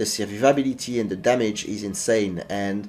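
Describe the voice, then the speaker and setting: A man with a French accent and a dark, mellow tone, at a fairly quick pace with ordinary pitch variation. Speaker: gaming YouTuber. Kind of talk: gameplay tutorial. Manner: halting, with fillers.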